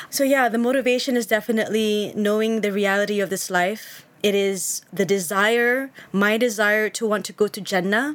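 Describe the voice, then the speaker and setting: This woman has an unremarkable speaking voice, fairly high in pitch, with fairly even intonation. She talks at a moderate pace with hardly any pauses. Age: 40s. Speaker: online Islamic content creator. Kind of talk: casual chat.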